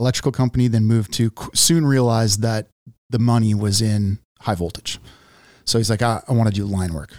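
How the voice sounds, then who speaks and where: With a normal speaking voice, a man talks at a fairly quick pace and medium pitch, his pitch varying in an ordinary way in a very clean recording with a silent background. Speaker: journeyman lineman and podcast host. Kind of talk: casual interview conversation. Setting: studio.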